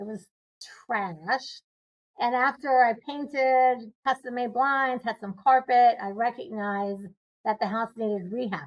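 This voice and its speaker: A woman with a high-pitched voice speaks at a fairly slow pace with ordinary pitch variation. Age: 60s. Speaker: real estate investor. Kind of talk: interview.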